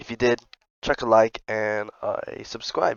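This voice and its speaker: A man talks at a moderate pace. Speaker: vlogger. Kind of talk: casual vlog talk. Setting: audio-only voiceover outro. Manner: halting, self-correcting.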